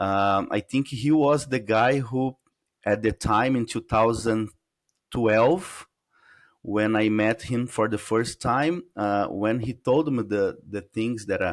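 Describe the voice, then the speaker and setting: A man with a Portuguese accent at a medium pitch and very slow pace, on a very clean recording with a silent background. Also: ordinary pitch variation. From Brazil. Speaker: UFO researcher. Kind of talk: interview. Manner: halting, searching for words.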